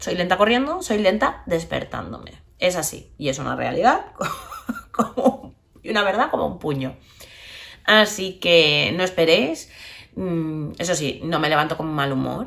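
A woman's fairly low voice with vocal fry and very wide pitch swings, at a fairly slow pace with long, frequent pauses. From Barcelona, Spain. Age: 30s. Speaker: podcast host, social worker and psychologist. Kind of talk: casual monologue.

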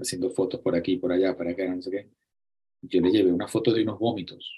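The speaker has a Venezuelan accent and fairly even intonation. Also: man. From Venezuela (Acarigua, Barquisimeto). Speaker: photographer. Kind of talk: interview. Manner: halting, frequent repetitions.

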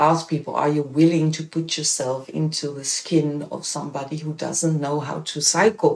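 A woman with a Dutch accent talks in a very deep, low voice with hardly any pauses. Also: big swings in loudness. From Netherlands. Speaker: bicycle mobility educator. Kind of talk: interview.

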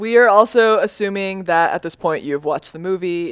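Recorded very cleanly with a silent background, a woman with an ordinary speaking voice talks at a moderate pace and medium pitch, her intonation lively. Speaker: podcast host. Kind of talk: casual chat.

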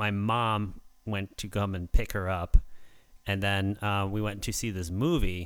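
A man with an ordinary speaking voice talks at a fairly slow pace in a fairly low pitch with fairly even intonation. His loudness swings widely on a very clean recording with a silent background. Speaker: podcast host. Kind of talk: casual chat. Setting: live stream.

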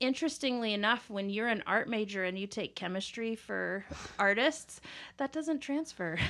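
Bright and sharp in tone, a woman with an American accent speaks at a moderate pace with lively intonation and fairly high pitch. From Kansas, US Midwest. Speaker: certified nurse midwife. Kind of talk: interview.

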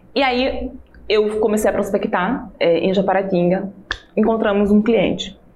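Against noticeable background noise and audible room echo, a woman talks at a medium pitch with very even loudness and fairly even intonation. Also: fairly slow pace. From Alagoas, northeast Brazil. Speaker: businesswoman. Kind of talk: testimony.

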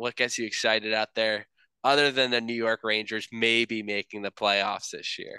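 In a dry, close sound with no echo, a man speaks at a medium pitch and moderate pace, his tone bright and sharp and his intonation monotone and flat. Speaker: podcast host. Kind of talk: casual chat. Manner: halting.

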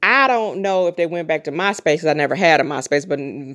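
With lively intonation, an unremarkable speaking voice talks at a fairly quick pace. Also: woman. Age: 40s. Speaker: podcast host. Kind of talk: solo podcast monologue. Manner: casual.

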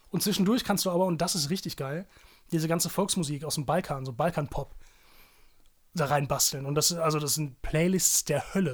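Man's fairly high voice with ordinary pitch variation and long, frequent pauses, on a very clean recording with a silent background. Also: fairly quick pace. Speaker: journalist and podcast co-host. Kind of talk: casual chat. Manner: louder than co-host.

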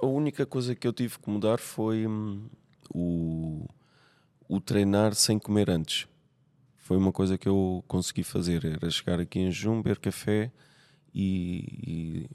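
Dark, mellow tone in a European Portuguese accent, on a very clean recording with a silent background. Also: man, dry, close sound with no echo. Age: 40s. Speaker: nurse. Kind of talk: casual chat. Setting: gym.

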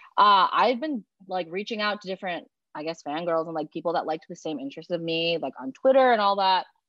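A woman's medium-pitched voice, very fast, with lively intonation. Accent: American. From Illinois, US Midwest. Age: 20s. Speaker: guest. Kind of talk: casual chat.

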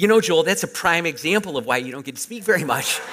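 Lively intonation runs through this man's speech. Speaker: pastor. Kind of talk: sermon. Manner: compact, analytical delivery.

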